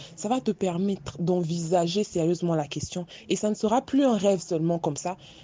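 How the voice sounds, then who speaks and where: Speaking at a fairly quick pace, a woman has a fairly low pitch, ordinary pitch variation and a dark, mellow tone. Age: 20s. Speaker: psychologist. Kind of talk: group discussion.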